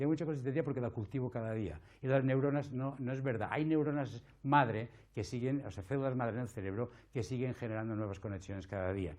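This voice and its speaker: Speech at a very fast pace comes over a quiet background. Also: man. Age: 60s. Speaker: palliative care doctor and lecturer. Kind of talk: conference talk.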